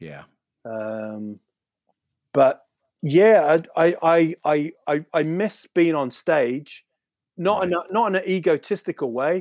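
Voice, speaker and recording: Speaking very slowly with long, frequent pauses, a man with a New Zealand accent and a fairly high pitch uses lively intonation and big swings in loudness. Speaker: stand-up comedian. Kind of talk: casual chat.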